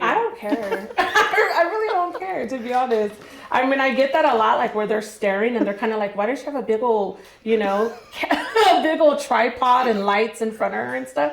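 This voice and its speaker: Loud and high-pitched, a woman speaks at a moderate pace with lively intonation, amid noticeable background noise and audible room echo. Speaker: food vlogger. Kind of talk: casual chat.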